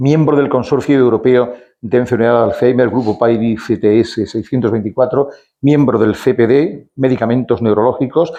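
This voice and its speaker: An ordinary speaking voice moves at a moderate pace, with very even loudness and fairly even intonation. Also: man, medium pitch for a man. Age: 60s. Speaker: event presenter at a veterans' club. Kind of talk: speaker introduction at a talk. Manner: reading a long bio from notes.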